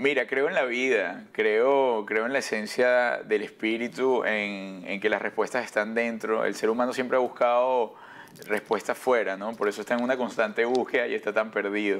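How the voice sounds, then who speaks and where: A man delivers his words at a moderate pace, his intonation fairly even. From Venezuela. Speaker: broadcaster and actor; actor. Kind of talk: TV interview. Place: studio. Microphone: lapel.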